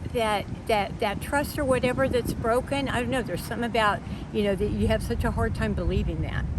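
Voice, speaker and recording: A woman with an American accent talks at a very fast pace, with noticeable background noise and audible room echo. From Texas, Dallas. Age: 60s. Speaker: homeless interviewee. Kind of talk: street interview. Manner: halting.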